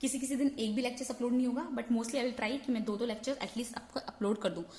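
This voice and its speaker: The pitch varies in an ordinary way. Audible room echo can be heard. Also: woman. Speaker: online chemistry teacher. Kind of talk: lecture. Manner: Hindi-English code-switching.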